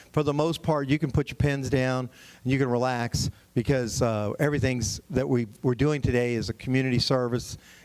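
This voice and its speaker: Fairly even intonation marks this man's medium-pitched voice. He speaks at a fairly quick pace. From Texas, San Antonio area. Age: 60s. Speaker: property tax consultant. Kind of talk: seminar presentation. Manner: fast.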